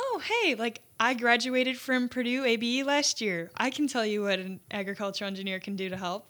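Here is a woman with an American accent and a normal speaking voice. She talks at a fairly quick pace with ordinary pitch variation. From Chicago suburbs, US Midwest. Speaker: engineering student. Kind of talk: casual interview.

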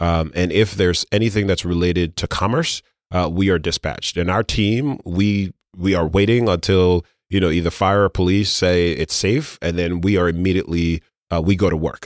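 In a New York accent, the speaker keeps a moderate pace. Loudness stays very even and intonation fairly even. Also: man, dry, close sound with no echo. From Brooklyn, New York (born in Grenada, moved at seven). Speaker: city government commissioner. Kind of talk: podcast interview. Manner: casual with frequent fillers.

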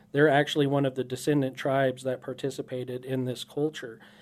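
A man's fairly high-pitched voice in a monotone, flat intonation. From southwest Kansas, Dodge City. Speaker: state park manager. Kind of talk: radio interview. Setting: radio studio.

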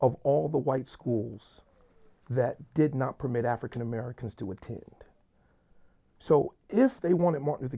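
Somewhat breathy, a man's dark, mellow voice at a medium pitch and a moderate pace. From US urban neighborhood. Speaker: pastor and church planting network leader. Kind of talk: casual chat.

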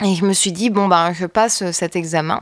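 A woman with a slight northern French accent speaks with ordinary pitch variation. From northern France (Roubaix). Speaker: bassist and singer-songwriter. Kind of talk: casual interview chat.

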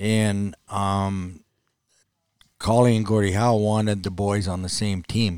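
Fairly low in pitch with fairly even intonation, a man with an unremarkable speaking voice is heard in a very clean recording against a silent background. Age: 60s. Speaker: retired ice hockey player. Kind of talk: casual interview.

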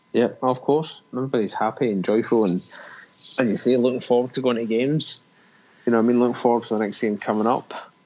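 Talking very fast, a man keeps his voice at a medium pitch. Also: fairly even intonation. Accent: Scottish. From Scotland. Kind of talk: casual chat.

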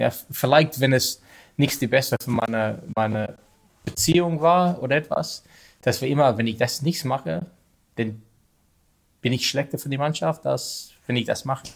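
A man speaks in an Australian accent. His pitch variation is ordinary and he leaves long, frequent pauses. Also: medium pitch for a man, moderate pace. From Australia, Sydney. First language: English (speaking German). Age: 40s. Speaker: field hockey coach, former international player. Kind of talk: interview in non-native German. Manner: halting, many hesitations.

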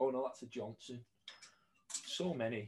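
Fairly even intonation marks a man's somewhat breathy voice. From northern England, St Helens (between Liverpool and Manchester). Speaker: jersey store owner and collector. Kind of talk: casual interview.

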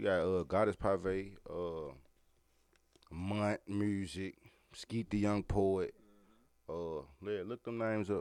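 With long, frequent pauses, a man in an American accent talks at a very slow pace, his fairly low pitch held in fairly even intonation. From Memphis, Tennessee. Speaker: rapper. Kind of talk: casual interview.

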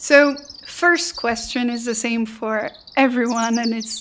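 Against noticeable background noise, a woman with a Belgian accent speaks at a high pitch with ordinary pitch variation. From Belgium. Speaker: podcast host. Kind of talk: interview.

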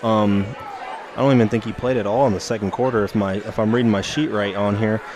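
Fairly quick, fairly low-pitched speech from a man, with fairly even intonation and noticeable background noise. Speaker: color commentator and basketball official. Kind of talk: casual co-commentary during live game.

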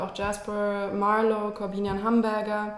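Heard through audible room echo and noticeable background noise, a woman talks at a medium pitch. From Germany, raised largely in London. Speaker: screenwriter. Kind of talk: interview. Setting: her kitchen.

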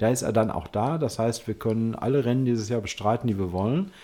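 A man's medium-pitched voice with a dark, mellow tone at a fairly quick pace. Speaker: amateur racing driver. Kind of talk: casual chat.

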